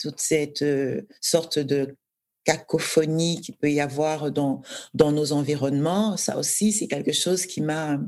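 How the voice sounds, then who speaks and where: A woman speaks at a very deep, low pitch. Her pitch variation is ordinary. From Cameroon, Douala. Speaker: novelist. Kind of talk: interview conversation.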